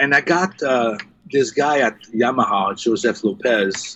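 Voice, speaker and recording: The speaker is a man. He has a French Canadian accent. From Quebec, Montreal. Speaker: live sound engineer. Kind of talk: casual interview. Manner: halting, many fillers; animated.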